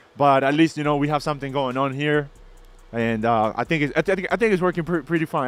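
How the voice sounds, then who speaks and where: With music in the background, the words come fairly quickly and the pitch varies in an ordinary way. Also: man. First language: not English. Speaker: crypto mining business owner and streamer. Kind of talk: live stream. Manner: casual, halting with fillers.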